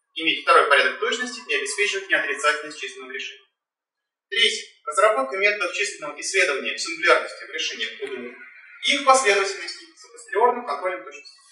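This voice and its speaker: A man talks at a very fast pace with big swings in loudness. Audible room echo and light background noise surround him. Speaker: doctoral candidate defending dissertation; candidate. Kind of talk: academic presentation. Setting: in-person council meeting room. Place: hall. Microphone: camera far.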